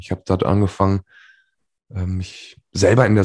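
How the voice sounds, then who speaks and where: A man's somewhat breathy, dark and mellow voice, fairly low in pitch, at a moderate pace over a quiet background. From western Germany, Remscheid near Düsseldorf. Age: 30s. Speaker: life coach and speaker. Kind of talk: interview.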